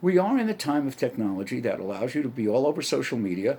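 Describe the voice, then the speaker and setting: A man talks in a New York accent with an animated tone and very wide pitch swings. His pace is fairly quick. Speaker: comedian and podcaster. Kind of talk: solo podcast monologue. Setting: home setup with camera. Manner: animated, stream of consciousness.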